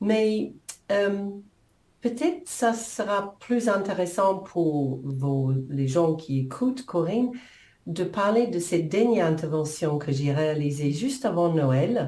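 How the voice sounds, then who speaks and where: Speaking very slowly with a New Zealand accent, a woman with a fairly low pitch makes very wide pitch swings against audible room echo. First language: English (speaking French). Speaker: coach and author. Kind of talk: interview. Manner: halting.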